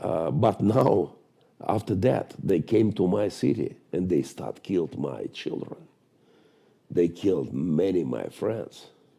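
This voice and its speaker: A man with a very deep, low pitch and a dark, mellow tone speaks with vocal fry and lively intonation. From Ukraine, Mariupol. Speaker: pastor. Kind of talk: interview. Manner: halting, non-fluent English.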